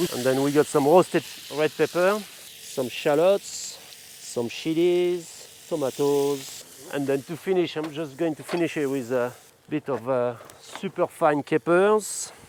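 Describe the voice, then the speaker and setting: A man at a fairly high pitch and fairly slow pace, with noticeable background noise. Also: ordinary pitch variation. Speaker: chef. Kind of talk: cooking demonstration. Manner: halting, many repetitions.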